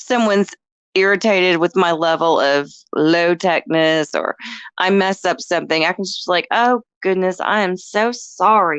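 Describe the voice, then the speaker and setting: A woman with an American accent and an ordinary speaking voice talks at a moderate pace and a fairly low pitch, with ordinary pitch variation, a quiet background and a dry, close sound with no echo. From North Texas. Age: 50s. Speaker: voice actress. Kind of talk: casual chat.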